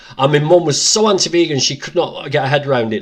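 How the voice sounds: Talking at a fast pace, a man with a fairly high voice shows ordinary pitch variation.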